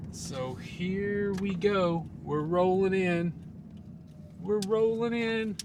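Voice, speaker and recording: A man's high voice at a very slow pace, with ordinary pitch variation and audible room echo. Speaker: car camping vlogger. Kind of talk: casual vlog narration. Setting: in a car at night. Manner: whispering; hesitant, many fillers.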